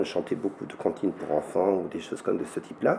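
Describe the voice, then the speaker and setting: A man's speech comes at a fairly quick clip while noticeable background noise carries on behind it. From French rural mountain village, Massif Central region. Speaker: folk song collector. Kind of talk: interview. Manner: halting.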